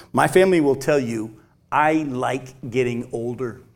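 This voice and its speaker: Medium pitch from a male speaker, ordinary variation in pitch, and room echo that can be heard. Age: 50s. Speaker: pastor. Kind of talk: sermon.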